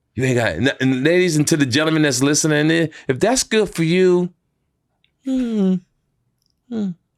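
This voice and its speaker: With an American accent, a man speaks at a moderate pace and a fairly high pitch, in an animated tone with lively intonation. Long, frequent pauses break up his speech, and the sound is dry and close with no echo. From US West Coast. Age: 60s. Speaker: comedian and entertainer. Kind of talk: podcast interview, casual chat.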